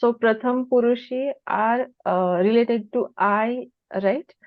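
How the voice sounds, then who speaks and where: A woman's fairly high voice in a Marathi accent. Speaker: student. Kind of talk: class question.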